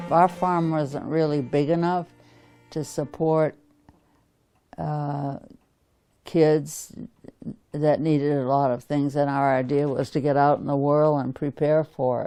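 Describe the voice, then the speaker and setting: A dark, mellow voice with an American accent moves at a fairly slow pace. Long pauses come often. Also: woman. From New Hampshire, US (Deering). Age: 90s. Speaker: oral history interviewee. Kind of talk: oral history interview, reminiscing. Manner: halting.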